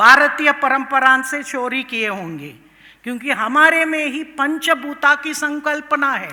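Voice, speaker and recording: A woman with a Tamil accent speaks in a raised, projected voice. Her pitch is high. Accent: Tamil-accented Hindi and Indian English. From Tamil Nadu, India. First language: Tamil (speaking Hindi). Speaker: professor of international politics. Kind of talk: conference speech. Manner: code-switching Hindi and English, with hesitations.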